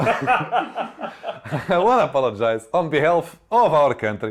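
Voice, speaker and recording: A man with a fairly high pitch speaks with a Portuguese accent. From Portugal. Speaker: comedian. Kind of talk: comedic monologue. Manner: animated.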